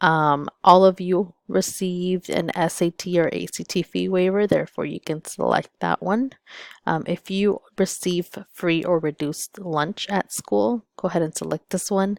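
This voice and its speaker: Dry, close sound with no echo from a woman with a Spanish accent, fairly low in pitch, with ordinary pitch variation. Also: moderate pace. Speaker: school counselor. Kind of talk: tutorial. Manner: casual, frequent fillers.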